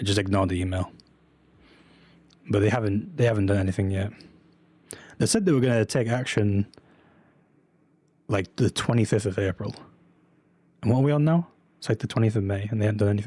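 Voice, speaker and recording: With a slight English accent, a man speaks very fast in a dark, mellow, somewhat breathy tone, broken by long, frequent pauses. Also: fairly low pitch for a man, ordinary pitch variation. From UK. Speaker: streamer, reseller. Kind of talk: live stream chat with viewers. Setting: live stream with webcam. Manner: casual, filler-heavy.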